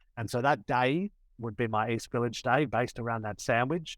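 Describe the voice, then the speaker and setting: In a very clean recording with a silent background, a man with an Australian accent speaks at a moderate pace with ordinary pitch variation. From Australia, Sydney. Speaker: tour operator, former lawyer. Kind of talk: podcast interview.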